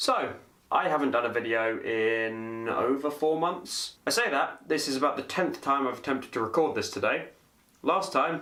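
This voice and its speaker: The voice has a bright, sharp tone and ordinary pitch variation in a British accent. It moves at a moderate pace. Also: man. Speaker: vlogger. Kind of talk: casual talk to camera.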